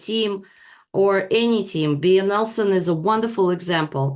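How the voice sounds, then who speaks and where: Here a woman of medium pitch speaks at a fairly slow pace. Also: quiet background. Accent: non-native. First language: not English. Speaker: leadership training provider. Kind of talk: online class presentation. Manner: halting, many fillers.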